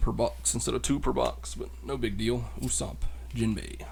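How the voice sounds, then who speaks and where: Quiet and marked by vocal fry, a man speaks in a dark, mellow tone with ordinary pitch variation and audible room echo. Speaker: card unboxing youtuber. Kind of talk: casual solo unboxing commentary. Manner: quiet, low-key.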